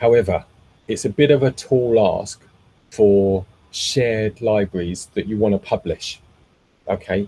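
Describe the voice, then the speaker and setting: A man with a fairly low pitch and a dark, mellow, somewhat breathy tone, at a fairly slow pace with long, frequent pauses, fairly even intonation and big swings in loudness, in a dry, close sound with no echo. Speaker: meetup host and tech presenter. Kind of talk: technical presentation with Q&A. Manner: frequent fillers and repetitions.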